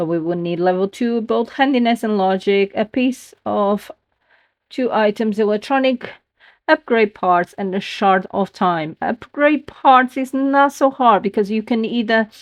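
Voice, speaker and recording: A woman with a non-native accent speaks at a fairly slow pace. Her voice is fairly high, with ordinary pitch variation. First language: not English. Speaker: gaming youtuber. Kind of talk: gameplay commentary. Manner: halting.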